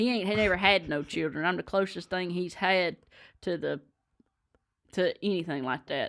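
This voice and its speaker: A woman with a Southern US accent speaks at a moderate pace in a medium-pitched voice. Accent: Southern US (Georgia). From Georgia, US South. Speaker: bluegrass musician. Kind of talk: casual chat.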